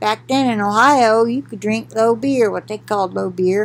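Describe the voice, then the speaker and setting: Ordinary pitch variation marks a woman speaking at a moderate pace. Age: 60s. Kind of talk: Bible reading with commentary. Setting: recorded at home for video. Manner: conversational, with fillers. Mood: calm, conversational. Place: home room. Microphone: webcam.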